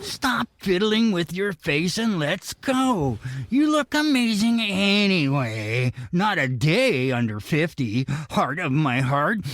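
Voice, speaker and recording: Put-on character voice from a man, high-pitched with very wide pitch swings, very even loudness and a fairly slow pace, in a dry, close sound with no echo. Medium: audio drama. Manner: smug, teasing.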